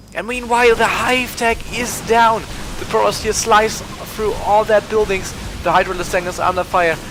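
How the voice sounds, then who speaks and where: A man with a German accent speaks over noticeable background noise. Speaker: esports shoutcaster. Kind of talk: live commentary. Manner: halting, many fillers and restarts; animated.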